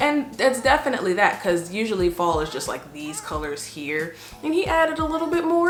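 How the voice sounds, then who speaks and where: Amid noticeable background noise and audible room echo, a woman talks at a moderate pace with very wide pitch swings. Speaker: beauty vlogger. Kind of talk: product review vlog. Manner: casual, conversational.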